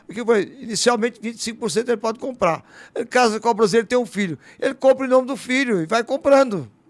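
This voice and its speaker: Speaking at a very fast pace, a man uses an extremely high, animated voice with ordinary pitch variation. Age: 60s. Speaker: politician. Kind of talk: talk show interview.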